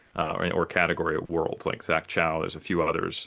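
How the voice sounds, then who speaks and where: A man with an American accent talks at a fairly quick pace. The background is quiet. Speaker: natural bodybuilder and coach. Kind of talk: podcast interview.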